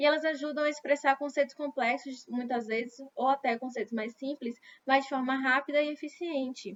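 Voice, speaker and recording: This woman has a high pitch and fairly even intonation, talking at a moderate pace. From Brazil. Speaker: English teacher. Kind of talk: lecture. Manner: conversational, repetitive fillers.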